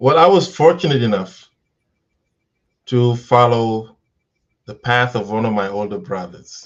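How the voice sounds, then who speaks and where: A man of medium pitch with a Senegalese accent, lively intonation, a fairly slow pace, long, frequent pauses and big swings in loudness. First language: Wolof. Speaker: educator. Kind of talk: interview.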